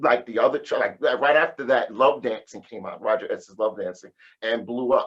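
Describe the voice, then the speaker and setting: A man is speaking. His pace is moderate. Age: 50s. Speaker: house music DJ and producer. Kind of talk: casual interview chat. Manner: animated.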